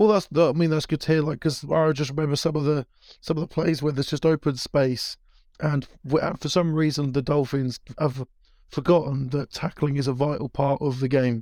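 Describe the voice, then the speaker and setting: A man's fairly high voice with a British accent and a dark, mellow tone, at a fairly quick pace with fairly even intonation and a dry, close sound with no echo. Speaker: podcast co-host. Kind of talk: casual chat. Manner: halting.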